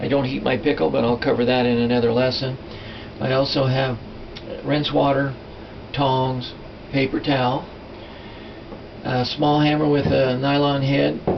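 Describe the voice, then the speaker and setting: A man's medium-pitched, monotone voice at a moderate pace, with flat intonation, long and frequent pauses, audible room echo and noticeable background noise. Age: 60s. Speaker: silversmithing teacher. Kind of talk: tutorial. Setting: workshop. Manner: casual, halting with fillers.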